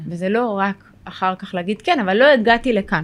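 A woman with a normal speaking voice talks at a moderate pace, her medium pitch showing ordinary variation. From Israel, Sderot. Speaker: social worker and therapist. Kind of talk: podcast interview.

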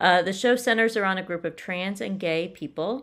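With an ordinary speaking voice, a woman talks at a moderate pace and with lively intonation in a very clean recording with a silent background. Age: 50s. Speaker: podcast co-host. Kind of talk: casual chat.

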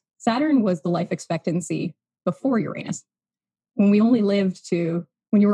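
A woman's medium-pitched voice, dark and mellow in tone with vocal fry, in a dry, close sound with no echo. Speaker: human design guide. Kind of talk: casual interview chat. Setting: video call.

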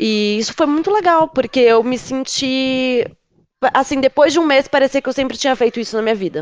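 A woman's high-pitched voice moves at a fairly quick pace with lively intonation. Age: 30s. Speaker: cybersecurity analyst. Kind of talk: casual chat.

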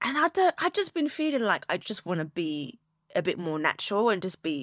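In a British accent, a woman speaks with very wide pitch swings, her sound dry and close with no echo, on a very clean recording with a silent background. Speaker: podcast host and business owner. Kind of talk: casual solo talk. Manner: loud; chatty.

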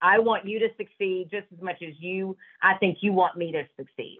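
With a Southern US accent, a woman speaks at a moderate pace and medium pitch. Her intonation stays fairly even while her loudness swings widely. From US South (Georgia). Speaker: business owner and horse rider. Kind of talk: interview.

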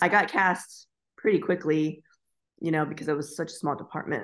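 A woman with an American accent has an ordinary speaking voice and a fairly low pitch. She speaks at a moderate pace with fairly even intonation over a quiet background. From Florida, US. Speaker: stage actress and nurse anesthetist. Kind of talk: casual interview chat.

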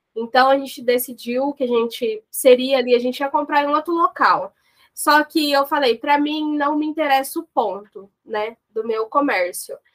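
Dry and close with no echo, the recording captures a woman with a high pitch. She keeps a moderate pace and ordinary pitch variation. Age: 20s. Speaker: business owner, lot owner. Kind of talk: interview. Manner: hesitant, many fillers.

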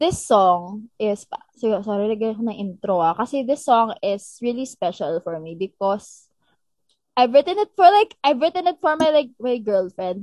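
Recorded with a dry, close sound and no echo, a woman speaks at a moderate pace with a fairly high pitch and very wide pitch swings. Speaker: singer. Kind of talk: casual chat. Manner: animated.

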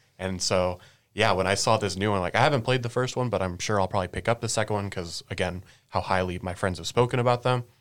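Speaking at a very fast pace, a man with a fairly low pitch and ordinary pitch variation comes through in a very clean recording with a silent background. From San Francisco Bay Area. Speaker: guest panelist. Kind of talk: casual chat.

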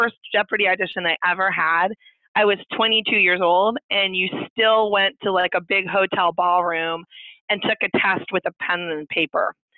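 Speaking at a moderate pace with a medium pitch, a woman with an American accent has a plain, everyday voice, very even loudness, and fairly even intonation. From Indiana. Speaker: lawyer. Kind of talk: interview.

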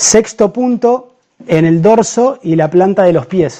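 A man's high voice with lively intonation at a fairly slow pace. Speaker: doctor. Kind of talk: live-streamed health talk. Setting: Facebook live stream.

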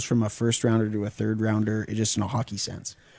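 A man speaks in a dark, mellow tone. The recording is very clean, dry and close, with a silent background and no echo. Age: 20s. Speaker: co-host. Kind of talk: casual sports talk show. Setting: studio.

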